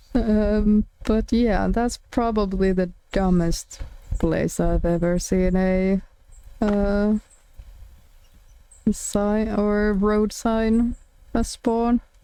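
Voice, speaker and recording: With a Finnish accent, the speaker talks at a very slow pace, leaving long, frequent pauses. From Finland. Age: 20s. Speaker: streamer. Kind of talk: casual live-stream chat while gaming. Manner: hesitant, many fillers.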